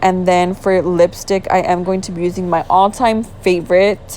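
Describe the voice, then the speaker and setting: A woman speaks at a medium pitch and a fairly slow pace. Noticeable background noise runs under her voice. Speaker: beauty vlogger. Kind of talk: tutorial. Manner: casual, chatty.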